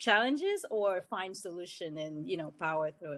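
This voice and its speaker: A woman is speaking. She has a French accent. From Cameroon (Douala). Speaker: engineer, panelist. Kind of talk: panel discussion.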